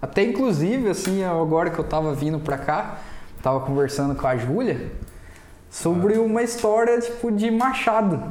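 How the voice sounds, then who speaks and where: Heard over noticeable background noise, a high-pitched man speaks at a moderate pace with very wide pitch swings and very even loudness. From Brazil, Mogi Guaçu (São Paulo interior). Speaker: podcast guest, print shop owner. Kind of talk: casual chat. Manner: animated.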